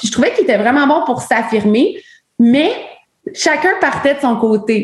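The woman has a high pitch. Her intonation is lively. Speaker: outdoor women's community director. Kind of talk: casual chat.

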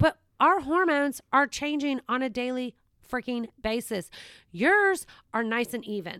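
Speech comes at a fairly slow pace with a bright, sharp tone, very wide pitch swings and an American accent. The recording is very clean and dry, with a silent background and close sound without echo. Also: woman, high pitch for a woman. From US South, Savannah, Georgia. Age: 50s. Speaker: podcast host. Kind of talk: casual chat.

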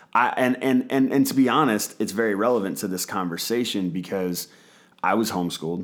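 A fairly low-pitched man's voice at a fairly quick pace with ordinary pitch variation. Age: 30s. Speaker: pastor and podcast host. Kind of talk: casual chat. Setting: studio.

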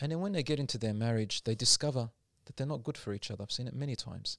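Over a silent background in a very clean recording, a man speaks with an Australian accent. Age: 40s. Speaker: Islamic preacher. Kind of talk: casual interview.

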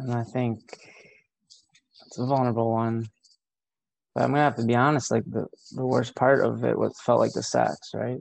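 A soft-spoken man at a moderate pace, with long, frequent pauses. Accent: American. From rural Ohio, US Midwest. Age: 40s. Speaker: therapist. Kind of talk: casual interview chat. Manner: reflective.

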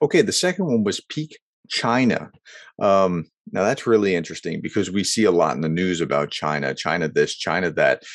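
Fairly low in pitch, a man speaks at a fairly quick pace with lively intonation in an unremarkable speaking voice. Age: 40s. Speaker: management professor and podcast host. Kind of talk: solo podcast commentary. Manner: casual with many fillers.

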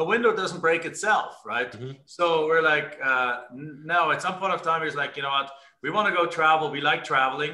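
A man's fairly high voice has a bright, sharp tone, moving at a moderate pace with ordinary pitch variation. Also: hardly any pauses. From Germany. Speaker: real estate investor.

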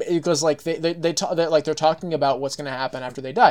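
A fairly high-pitched man with an American accent, on a very clean recording with a silent background. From Texas. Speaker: podcast guest. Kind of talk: casual chat. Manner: halting, many false starts.

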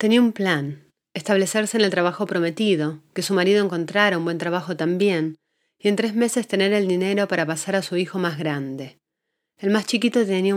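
This woman has an ordinary speaking voice at medium pitch, with ordinary pitch variation and a fairly quick pace. The recording is very clean, with a silent background. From Argentina. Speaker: podcast host and journalist. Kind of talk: scripted narration.

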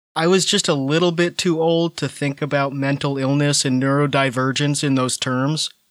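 On a very clean recording with a silent background, an unremarkable speaking voice moves at a moderate pace with fairly even intonation and very even loudness. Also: man, fairly high pitch for a man. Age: 30s. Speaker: podcast co-host. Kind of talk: casual chat.

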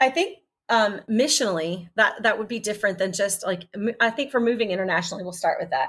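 Very fast, fairly high-pitched female speech in an American accent, with ordinary pitch variation. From Texas. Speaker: missionary. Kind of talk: casual interview. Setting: video call.

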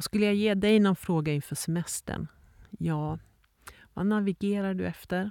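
At a moderate pace, a woman speaks with fairly even intonation and a dark, mellow tone. The sound is dry and close with no echo, in a very clean recording with a silent background. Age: 50s. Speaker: podcast host and leadership coach. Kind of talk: reflective solo monologue. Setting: outdoors in the mountains.

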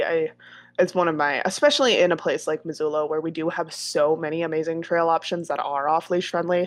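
A woman with an ordinary speaking voice talks at a fairly quick pace against a quiet background. Her pitch is fairly low and her intonation fairly even. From US Midwest, northern Wisconsin. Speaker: dog trainer. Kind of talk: casual interview chat. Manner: casual, many fillers.

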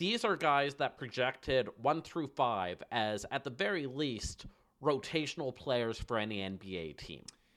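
On a very clean recording with a silent background, a man with a plain, everyday voice speaks fairly slowly at a medium pitch with lively intonation. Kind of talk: casual analytical game recap, narrating play in present tense like a relaxed commentator. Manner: conversational and wry, steady pace, analytical, with occasional stumbles.

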